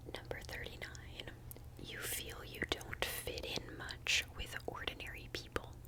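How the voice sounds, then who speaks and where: Over noticeable background noise, a woman whispers at a fairly slow pace. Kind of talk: ASMR personal questions video. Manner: whispered, soft-spoken.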